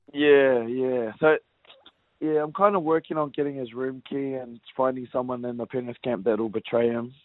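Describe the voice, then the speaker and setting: A man with a New Zealand accent speaks at a moderate pace, his medium pitch moving with ordinary variation. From New Zealand (West Auckland). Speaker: rugby league player. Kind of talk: casual interview.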